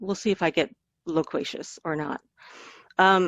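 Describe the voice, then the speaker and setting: A woman's medium-pitched voice with an American accent, at a moderate pace with ordinary pitch variation. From South Africa, then Pittsburgh, US from age five. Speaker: knowledge management presenter. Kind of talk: webinar presentation. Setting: video call webinar. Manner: halting, many fillers and restarts.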